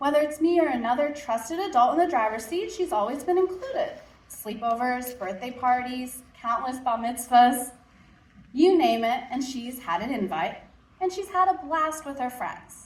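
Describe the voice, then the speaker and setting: Lively intonation from a woman with a high voice, at a moderate pace. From Southern United States. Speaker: parent. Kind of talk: story slam personal storytelling.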